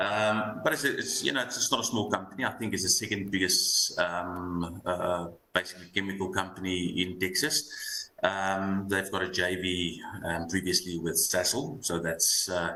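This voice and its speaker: A man with an Afrikaans accent and a very deep, low pitch speaks at a moderate pace with hardly any pauses. His pitch variation is ordinary, and there is noticeable background noise. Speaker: fund manager. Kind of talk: market analysis interview. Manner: halting with many fillers.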